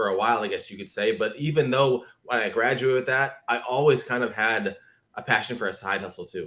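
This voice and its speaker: A man with a normal speaking voice delivers his words fairly quickly, his medium pitch rising and falling with ordinary variation. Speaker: affiliate marketer. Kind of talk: interview. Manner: casual, filler-heavy.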